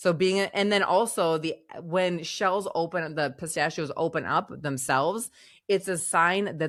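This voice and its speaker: In a very clean recording with a silent background, a woman with a Minnesotan accent talks at a fairly low pitch with ordinary pitch variation. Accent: Minnesota. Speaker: podcast co-host. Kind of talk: casual chat. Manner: halting, with restarts.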